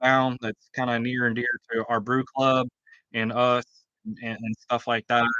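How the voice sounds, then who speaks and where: A man speaks loudly with a bright, sharp tone. The sound is dry and close, with no echo. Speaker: homebrewer and channel host. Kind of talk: livestream casual chat. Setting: outdoors under a canopy.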